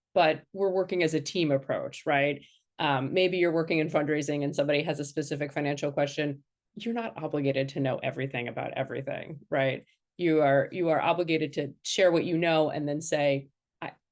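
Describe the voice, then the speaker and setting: Against a quiet background, a woman with an American accent speaks fairly quickly in a very deep, low voice with fairly even intonation. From Western Colorado. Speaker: fundraiser. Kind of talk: panel discussion.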